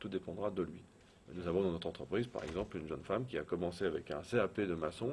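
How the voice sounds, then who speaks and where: Speaking at a very fast pace, a man uses a very deep, low pitch. His pitch varies in an ordinary way. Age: 40s. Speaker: business owner. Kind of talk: interview.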